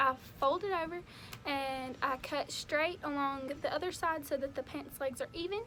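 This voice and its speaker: Raised and projected, a woman's high-pitched voice carries ordinary pitch variation. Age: young. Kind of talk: casual DIY tutorial talk to camera.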